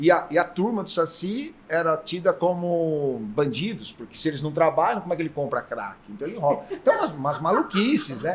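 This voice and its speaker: At a moderate pace and with hardly any pauses, a man with a high pitch speaks in lively intonation. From São Paulo state, Brazil (Botucatu). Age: 60s. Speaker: folklore association president, engineer. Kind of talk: podcast interview.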